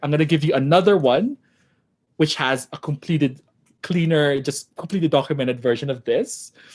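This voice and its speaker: The man talks at a moderate pace. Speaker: programming workshop instructor. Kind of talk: online coding tutorial. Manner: halting, many fillers.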